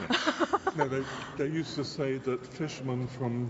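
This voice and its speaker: A man speaks over noticeable background noise. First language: Danish. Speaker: cathedral tour guide. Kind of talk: casual chat.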